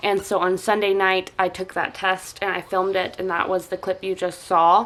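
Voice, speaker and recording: A woman talks at a moderate pace in a medium-pitched voice. Noticeable background noise sits behind her. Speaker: stay-at-home mom vlogger. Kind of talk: casual vlog update. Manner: hesitant, many fillers.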